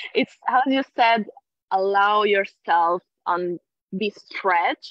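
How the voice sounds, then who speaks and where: A woman speaks with an Italian accent at a very slow pace. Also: medium pitch for a woman, ordinary pitch variation. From Italy. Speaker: NLP trainer. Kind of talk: casual interview on live video call. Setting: live online video stream.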